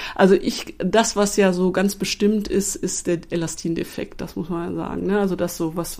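A woman speaks at a fairly slow pace in a medium pitch. Her intonation stays monotone and flat. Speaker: paediatrician. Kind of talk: interview.

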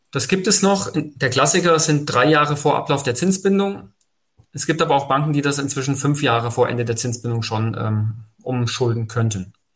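At a moderate pace, a man talks with lively intonation, a fairly high pitch and a somewhat breathy sound. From Hesse, Germany (Fulda). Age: 40s. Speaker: mortgage finance advisor. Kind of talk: podcast interview.

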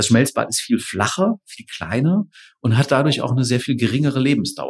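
A man speaks in a somewhat breathy voice. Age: 40s. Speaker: engineering professor. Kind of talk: interview. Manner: hesitant fillers (äh, ähm).

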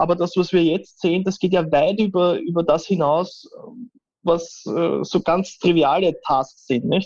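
Speaking in a Viennese accent, a man talks at a fairly slow pace with a high pitch. His intonation is fairly even and his loudness very even. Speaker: AI and IT expert. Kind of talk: interview.

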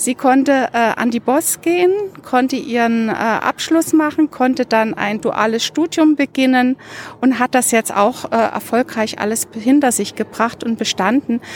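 A high-pitched woman talks at a fairly slow pace, her sound dry and close with no echo, amid noticeable background noise. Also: ordinary pitch variation. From Dresden, eastern Germany. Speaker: university administrator and volunteer mentor. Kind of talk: group conversation. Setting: outdoors in a university courtyard.

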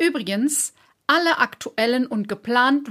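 Her tone is bright and sharp, her pitch fairly high, her pace moderate. The woman is recorded very cleanly against a silent background. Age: 50s. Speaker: podcast host and business coach. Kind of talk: scripted narration; interview conversation.

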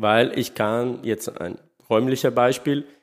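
A man's medium-pitched voice at a fairly slow pace with ordinary pitch variation, in a very clean recording with a silent background. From Sardinia, Italy. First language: Italian / Sardinian (speaking German). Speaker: literary scholar. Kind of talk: interview. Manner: halting, non-native phrasing.

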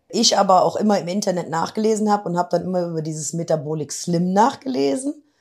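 Her tone dark and mellow, a woman talks at a medium pitch. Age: 50s. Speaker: office clerk, weight-loss program participant. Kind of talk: interview. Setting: in person, same room as host.

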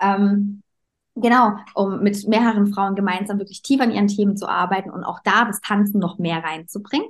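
Somewhat breathy and medium in pitch, a woman talks at a moderate pace with fairly even intonation. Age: 20s. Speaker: dance teacher and coach. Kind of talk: interview. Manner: hesitant, many filler sounds.

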